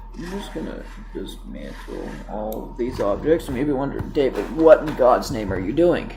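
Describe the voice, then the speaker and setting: Mumbling at a moderate pace, a man is heard with audible room echo and music in the background. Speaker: gaming youtuber. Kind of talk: gameplay commentary. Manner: casual.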